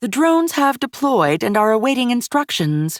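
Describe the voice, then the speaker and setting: Putting on a character voice, a woman speaks high-pitched with very wide pitch swings at a moderate pace, on a very clean recording with a silent background. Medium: read story. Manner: deadpan, terse.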